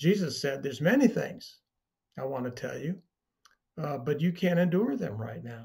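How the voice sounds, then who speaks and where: A man with a fairly high pitch talks at a moderate pace, somewhat breathy, with very wide pitch swings. His loudness swings widely, and he leaves long, frequent pauses. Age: 70s. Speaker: bible teacher. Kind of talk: teaching talk. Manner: conversational with frequent fillers.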